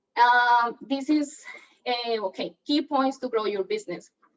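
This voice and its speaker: A woman speaks with a non-native accent. Her pitch is fairly high, with ordinary variation. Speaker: real estate agent. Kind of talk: training seminar talk.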